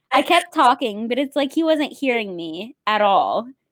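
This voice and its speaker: Speaking at a moderate pace, a woman with a Midwestern US accent has a high pitch and an animated tone. Her pitch swings very widely. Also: dry, close sound with no echo. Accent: Midwestern US, noticeable. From US Midwest. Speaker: podcast host. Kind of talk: casual chat. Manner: animated, chatty.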